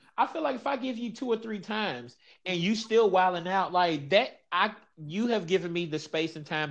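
Against a quiet background, a man with a high pitch talks at a fairly quick pace, his voice making very wide pitch swings. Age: 30s. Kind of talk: casual chat.

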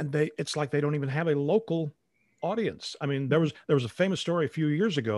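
Over a very clean recording with a silent background and a dry, close sound with no echo, a man with a Midwestern American accent talks at a very fast pace, fairly high in pitch, with ordinary pitch variation. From US Midwest, northern Illinois. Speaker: retired radio newscaster, podcaster. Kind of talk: casual interview.

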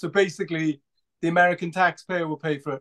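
A man speaks in a high pitch at a fairly quick pace. His intonation is monotone and flat. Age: 40s. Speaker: podcast host. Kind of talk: casual chat. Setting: video call.

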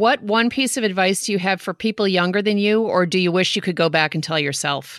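In a plain, everyday voice, a woman speaks at a medium pitch and a fairly quick pace with ordinary pitch variation and very even loudness, on a very clean recording with a silent background. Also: hardly any pauses. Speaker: podcast host. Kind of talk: scripted monologue; interview.

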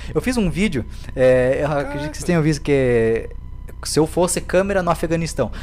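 A man speaks at a fairly quick pace, his fairly high pitch moving with lively intonation. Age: 20s. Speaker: comedian and video creator. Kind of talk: casual interview chat. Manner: animated.

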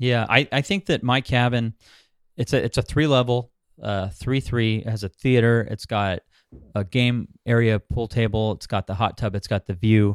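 In a Californian accent, a man speaks at a moderate pace with medium pitch and ordinary pitch variation, captured on a very clean recording with a silent background and a dry, close sound with no echo. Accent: Californian American English. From Southern California, Orange County. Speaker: short-term rental investor and property manager. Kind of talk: interview. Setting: call.

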